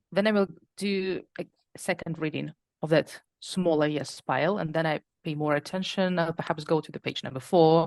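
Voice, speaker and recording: A woman with a non-native accent speaks at a moderate pace in a fairly low pitch with fairly even intonation, the sound dry and close with no echo against a quiet background. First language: not English. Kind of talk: interview.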